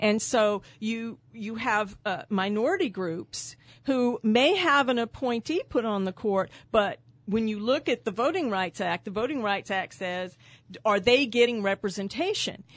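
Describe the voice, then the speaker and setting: Speaking with a Texan accent, a woman with a fairly high pitch talks at a fairly slow pace with ordinary pitch variation over a quiet background. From San Antonio, Texas. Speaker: trial lawyer and judicial candidate. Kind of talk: radio interview. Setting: studio.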